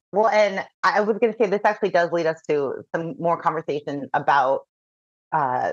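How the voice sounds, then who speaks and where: An ordinary speaking voice from a woman, medium in pitch with lively intonation and a moderate pace, in a dry, close sound with no echo. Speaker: podcast host. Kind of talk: interview.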